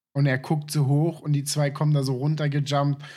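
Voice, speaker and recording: The recording is very clean, with a silent background. A man speaks with a fairly high pitch. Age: 20s. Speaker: podcast co-host. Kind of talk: casual chat. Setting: voice chat.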